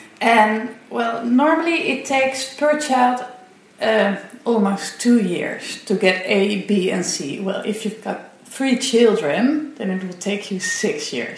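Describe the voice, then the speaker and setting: Speaking at a very slow pace and fairly high pitch, a woman with a Dutch accent is heard over noticeable background noise. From Netherlands. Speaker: parent. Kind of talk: interview.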